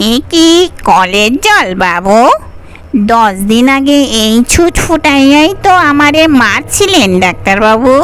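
A female-sounding voice puts on a character voice, high in pitch and at a fairly slow pace, with clear background noise. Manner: eerie, accusing.

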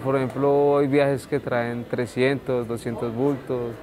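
A man speaks at a fairly slow pace in a monotone, flat intonation. Background noise is noticeable. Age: 20s. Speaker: market porter. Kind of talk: documentary interview. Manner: casual, hesitant. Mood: calm, a bit shy.

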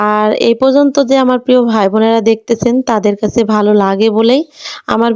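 A woman's fairly high-pitched voice has a dark, mellow tone and fairly even intonation. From Bangladesh, Natore district. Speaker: village cooking vlogger. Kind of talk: vlog narration while cooking. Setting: outdoors at a clay stove at a village home.

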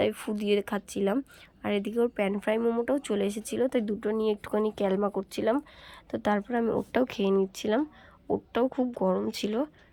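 A woman speaks at a fairly high pitch with a dark, mellow tone, fairly even intonation and very even loudness, in a dry, close recording with no echo. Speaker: vlogger. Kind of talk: casual vlog narration.

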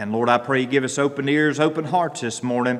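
A man with a Southern US accent and fairly even intonation. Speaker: pastor. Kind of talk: church announcements and prayer. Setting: church. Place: church. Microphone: podium.

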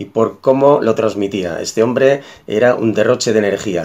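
A man's fairly low voice at a fairly slow pace, with ordinary pitch variation. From Galicia, Spain (Moaña, Pontevedra); Galicia, Spain. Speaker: massage therapist and osteopath. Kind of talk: testimonial. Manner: slightly halting with fillers. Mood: warm, enthusiastic. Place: home room. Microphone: webcam.

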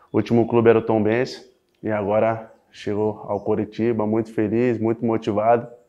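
A man at a moderate pace in a monotone, flat intonation, over a quiet background. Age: 20s. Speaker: professional footballer. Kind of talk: club interview. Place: studio. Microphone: lapel.

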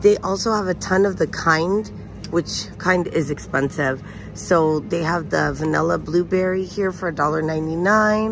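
The speech comes at a fairly slow pace with a dry sound with no echo and light background noise. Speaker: shopping vlogger. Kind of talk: casual vlog chat. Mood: upbeat, chatty. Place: shop. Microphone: phone near.

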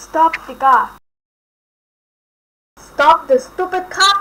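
A cartoonish character voice at an extremely high pitch and a very slow pace. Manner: frantic, screaming.

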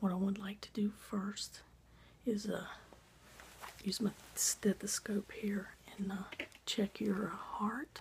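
A soft-spoken, very slow voice with a gentle tone, long and frequent pauses, and light background noise. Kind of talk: role-play doctor exam talk to the viewer. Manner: soft, gentle ASMR doctor voice. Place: home room. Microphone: phone near.

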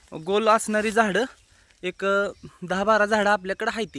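A man with a bright, sharp tone, dry and close with no echo. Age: 20s. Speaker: farmer. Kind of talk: walkthrough video. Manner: casual.

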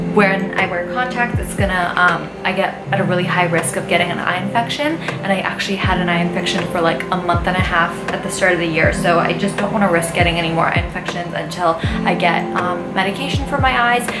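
Over loud music in the background, a woman talks at a very fast pace. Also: ordinary pitch variation. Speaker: beauty vlogger. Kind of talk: casual vlog chat. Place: home room. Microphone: phone near.

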